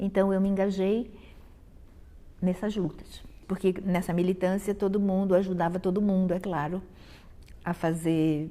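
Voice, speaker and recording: Her voice is fairly low in pitch, with a dark, mellow tone and fairly even intonation as this woman speaks. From Brazil, Rio de Janeiro. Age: 60s. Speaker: professor and dance critic. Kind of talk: interview testimony.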